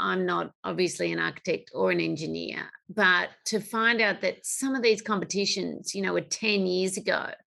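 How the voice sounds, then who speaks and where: With an Australian accent, a woman talks at a moderate pace with hardly any pauses against a quiet background. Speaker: podcast host, industry association CEO. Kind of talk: interview. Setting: remote call.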